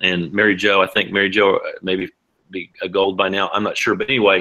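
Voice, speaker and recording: A man's fairly low-pitched voice. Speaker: hemp oil business distributor. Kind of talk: sales pitch. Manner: fast.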